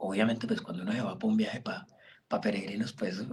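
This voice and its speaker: A man is speaking. His pitch swings very widely. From Colombia, Caquetá (Florencia). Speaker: birding guide. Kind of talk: interview.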